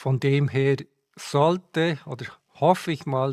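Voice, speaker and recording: On a very clean recording with a silent background, a man with a Swiss German accent speaks with ordinary pitch variation. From Switzerland. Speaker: sim racing streamer. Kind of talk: live stream commentary. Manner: halting, with fillers.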